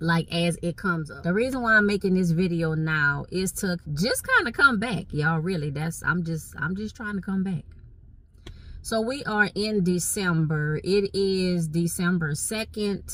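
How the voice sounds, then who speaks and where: A woman with a Southern Louisiana accent, fairly low in pitch, animated at a moderate pace with ordinary pitch variation, over noticeable background noise. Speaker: vlogger. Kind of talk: casual chat. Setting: in a car.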